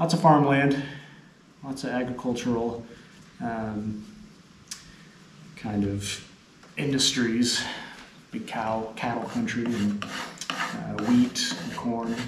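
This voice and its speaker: Through noticeable background noise, a man talks at a very slow pace with long, frequent pauses and ordinary pitch variation. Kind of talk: casual interview-style chat to camera. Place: hall. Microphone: camera far.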